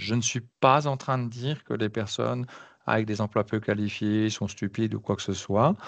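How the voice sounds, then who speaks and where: Over a quiet background, a man talks at a moderate pace with a fairly low pitch and fairly even intonation. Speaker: career advisor running a job-search workshop. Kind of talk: online workshop presentation. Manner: hesitant, many fillers.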